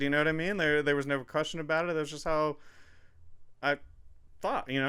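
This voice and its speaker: A mumbling man with a fairly high pitch, over noticeable background noise. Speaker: podcast host. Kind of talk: casual chat.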